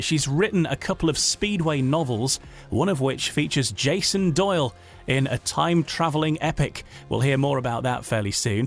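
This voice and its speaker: A man's medium-pitched voice at a moderate pace with lively intonation, music playing in the background. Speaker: podcast host. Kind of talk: podcast interview questions.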